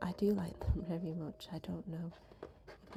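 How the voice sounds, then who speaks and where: There is music behind the speaker. She is a woman talking at a moderate pace. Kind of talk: casual ASMR voiceover. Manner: soft-spoken.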